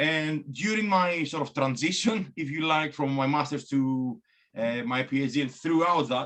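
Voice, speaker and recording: At a moderate pace, a man with a strong Greek accent speaks in a fairly high voice. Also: ordinary pitch variation. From Greece. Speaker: biomechanics academic. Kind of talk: talk presentation. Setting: video call. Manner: hesitant, many fillers and repeats.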